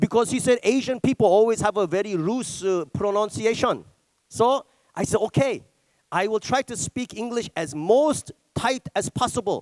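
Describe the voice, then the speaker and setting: A man with a Korean accent speaks at a moderate pace in a high voice with ordinary pitch variation. The sound is dry and close with no echo. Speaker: stand-up comedian. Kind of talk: stand-up. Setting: stage with audience.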